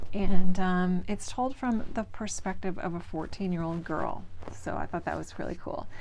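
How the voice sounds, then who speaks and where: Speaking with a northern US accent, a woman talks at a moderate pace and medium pitch with ordinary pitch variation. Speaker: book vlogger. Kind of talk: casual reading vlog. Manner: casual, with filler words.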